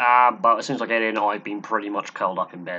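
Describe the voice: Talking at a fast pace, a man uses a bright, sharp tone with little pitch movement.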